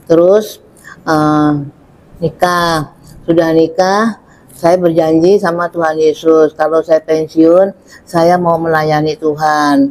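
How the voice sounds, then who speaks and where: This woman speaks at a very slow pace with a fairly low pitch, very even loudness, and a monotone, flat intonation. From Jakarta, Indonesia. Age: 70s. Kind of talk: testimony.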